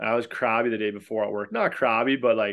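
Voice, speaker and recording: Against a quiet background, a man speaks at a medium pitch in an ordinary speaking voice with fairly even intonation. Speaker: podcast co-host. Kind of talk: casual podcast chat.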